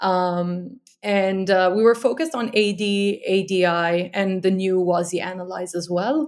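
Over a very clean recording with a silent background, a woman talks at a medium pitch with ordinary pitch variation, an ordinary speaking voice. Her pace is fairly slow, with hardly any pauses. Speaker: design manager. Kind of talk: casual interview.

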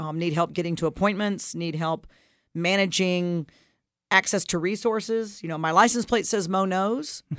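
A woman's ordinary speaking voice at medium pitch, with ordinary pitch variation, a moderate pace, and a very clean recording over a silent background. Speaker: radio co-host and leadership coach. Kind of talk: casual co-hosted radio discussion.

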